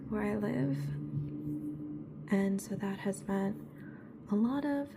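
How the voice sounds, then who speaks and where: A soft-spoken woman at a very slow pace, with noticeable background noise. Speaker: ASMR creator. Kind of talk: ASMR soft-spoken chat.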